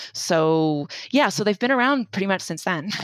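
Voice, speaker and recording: A woman talks at a moderate pace on a very clean recording with a silent background, the sound dry and close with no echo. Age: 30s. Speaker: author and journalist. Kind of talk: interview. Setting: audio-only podcast recording. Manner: hesitant, many fillers.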